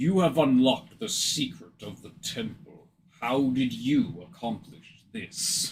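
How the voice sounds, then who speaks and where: A man's put-on character voice, medium in pitch and fairly slow, with big swings in loudness. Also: lively intonation. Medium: actual play. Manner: menacing, imperious.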